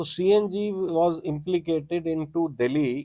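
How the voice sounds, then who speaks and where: The man's voice has a fairly high pitch and ordinary pitch variation. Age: 60s. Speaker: transporter, car owner. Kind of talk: interview. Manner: halting.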